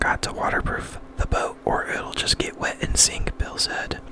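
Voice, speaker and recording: Someone whispers at a fairly slow pace. Background noise is noticeable. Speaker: ASMR reader. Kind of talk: ASMR book reading. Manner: whispered or soft-spoken.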